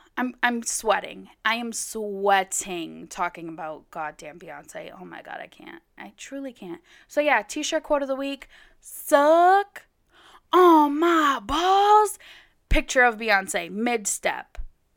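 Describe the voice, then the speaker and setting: The voice moves at a very slow pace, with very wide pitch swings and big swings in loudness. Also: woman, high pitch for a woman, very clean recording, silent background. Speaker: solo podcast host. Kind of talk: casual monologue. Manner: animated.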